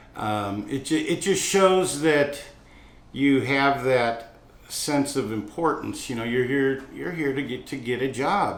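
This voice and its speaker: The speech comes at a very slow pace with ordinary pitch variation and audible room echo. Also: man, fairly high pitch for a man. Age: 60s. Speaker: restaurant owner. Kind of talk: interview talk about hiring. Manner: casual, with fillers and restarts.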